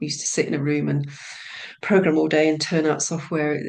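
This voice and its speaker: Amid noticeable background noise, a woman speaks at a fairly quick pace in a very deep, low pitch with monotone, flat intonation. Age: 60s. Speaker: business analyst retraining as hypnotherapist. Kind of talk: casual interview. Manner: hesitant, many fillers.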